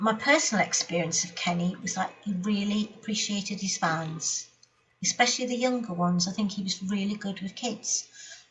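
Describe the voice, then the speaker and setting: Music plays in the background as a woman talks with a Geordie accent at a fairly quick pace. Her pitch is medium, with ordinary variation. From Newcastle, England. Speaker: speedway writer and novelist. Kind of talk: interview answer.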